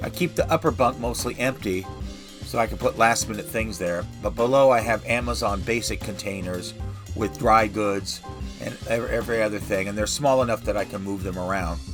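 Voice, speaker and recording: Music plays in the background as a man speaks at a moderate pace, his intonation lively. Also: fairly low pitch for a man. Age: 60s. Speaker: retiree living in an RV. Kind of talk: home tour talk to camera.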